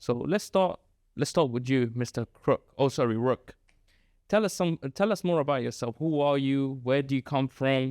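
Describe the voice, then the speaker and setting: In a London accent, the speaker talks at a moderate pace with ordinary pitch variation, on a very clean, dry, close recording with a silent background and no echo. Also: man, fairly high pitch for a man. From London, England. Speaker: podcast host, educator. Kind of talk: casual chat.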